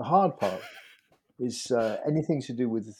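Fairly slow speech with a non-native accent, in a very clean recording over a silent background. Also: man. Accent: non-Icelandic English. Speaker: literary translator. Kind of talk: interview.

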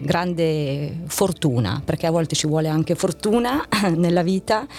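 The woman's pitch is very deep and low, with fairly even intonation. Noticeable background noise runs behind her. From northern Italy, Novara province. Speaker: corporate communications executive. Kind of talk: interview. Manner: hesitant with fillers.

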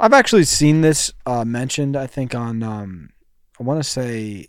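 A man talks at medium pitch and a moderate pace in an unremarkable speaking voice. His pitch variation is ordinary, and the recording is very clean with a silent background. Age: 20s. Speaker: podcast co-host. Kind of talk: casual chat.

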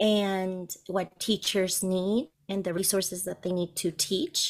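A woman speaks in a Spanish accent at a fairly slow pace. Her pitch is medium, and the recording is very clean with a silent background. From Colombia. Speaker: bilingual teacher and resource entrepreneur. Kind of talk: interview.

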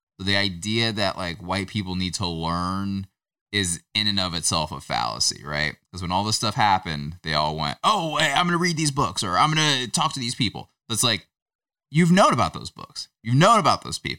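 At a moderate pace, a man speaks with a fairly low pitch and very wide pitch swings. The tone is bright and sharp, and the sound is dry and close with no echo. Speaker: podcast co-host. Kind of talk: casual chat.

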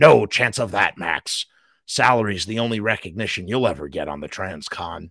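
A man puts on a booming character voice, fairly low in pitch with lively intonation and big swings in loudness, at a moderate pace in a dry, close sound with no echo. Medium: read story. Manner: gruff, blunt, teasing.

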